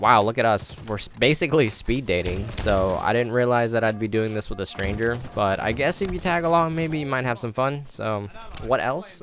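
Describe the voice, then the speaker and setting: Speaking at medium pitch with lively intonation, a man keeps a moderate pace with hardly any pauses over noticeable background noise. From Vietnam. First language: Vietnamese. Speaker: game developer and commentary youtuber. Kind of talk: casual gameplay commentary. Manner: halting, many ums and pauses.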